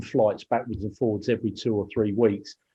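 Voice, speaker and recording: A British-accented man with a medium pitch, monotone, flat intonation and a moderate pace. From Kent, southeast England. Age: 50s. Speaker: business owner. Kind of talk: interview.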